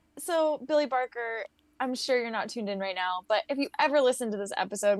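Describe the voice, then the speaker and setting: This woman has a fairly high pitch and an animated tone with lively intonation. Her fairly quick speech has a dry, close sound with no echo. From California, Santa Monica. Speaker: podcast co-host and game streamer. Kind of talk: casual chat. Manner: loud.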